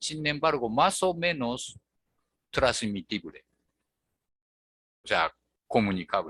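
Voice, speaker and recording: A man with a strong Japanese accent speaks at a very slow pace in a medium pitch, with long, frequent pauses and very wide pitch swings. His tone is bright and sharp, and the sound is dry and close with no echo. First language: Japanese (speaking Spanish). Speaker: language teacher. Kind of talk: online tutoring lesson. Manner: hesitant with many fillers.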